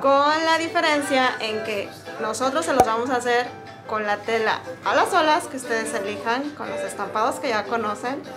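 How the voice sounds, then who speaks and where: Clear music sounds behind the speech. A woman goes at a moderate pace. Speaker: swimwear shop employee. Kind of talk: explaining to camera. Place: shop. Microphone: phone near.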